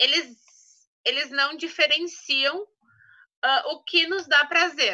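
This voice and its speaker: A woman speaks in a raised, projected voice with ordinary pitch variation. Her tone is bright and sharp. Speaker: essential oils trainer. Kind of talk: online training talk.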